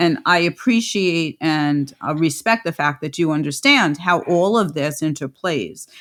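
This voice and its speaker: A woman speaks fairly slowly with a New York accent, her voice very deep and low. Her pitch varies in an ordinary way, and the recording is very clean with a silent background. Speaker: podcast host, midwife and lactation consultant. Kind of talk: interview podcast.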